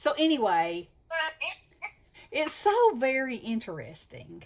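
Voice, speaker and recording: A woman talks in a Southern US accent. Her pace is very slow. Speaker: craft channel host. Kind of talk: casual chat. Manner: animated.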